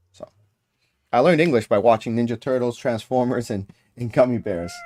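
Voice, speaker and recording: With an American accent, a man of medium pitch talks at a fairly quick pace using ordinary pitch variation. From United States. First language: Spanish. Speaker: gaming streamer. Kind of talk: livestream gaming commentary.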